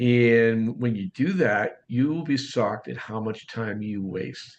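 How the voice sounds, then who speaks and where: This man speaks with a Boston accent. His pitch varies in an ordinary way. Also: medium pitch for a man. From US Northeast, Boston. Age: 60s. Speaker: real estate coach and author. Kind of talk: podcast interview. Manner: fast.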